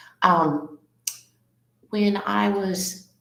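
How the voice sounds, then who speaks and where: A woman speaks with an American accent, with audible room echo. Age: 60s. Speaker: elementary school English teacher. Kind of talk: casual interview.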